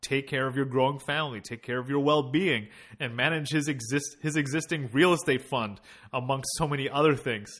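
Recorded very cleanly against a silent background, a man with a normal speaking voice talks at a fairly quick pace. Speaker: podcast host. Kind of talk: podcast interview, casual chat.

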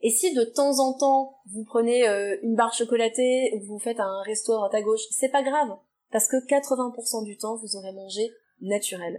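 At a fairly slow pace, a woman speaks with a dark, mellow tone at a fairly high pitch. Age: 30s. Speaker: nutrition therapist. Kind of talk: interview answers.

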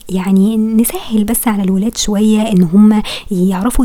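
Noticeable background noise runs under this recording. A woman speaks at a medium pitch with fairly even intonation. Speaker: podcaster. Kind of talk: solo monologue.

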